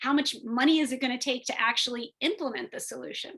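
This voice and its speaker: The voice has a bright, sharp tone and ordinary pitch variation, moving at a very fast pace. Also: woman. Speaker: biomedical engineer and tech entrepreneur. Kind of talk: webinar presentation. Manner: halting, many fillers.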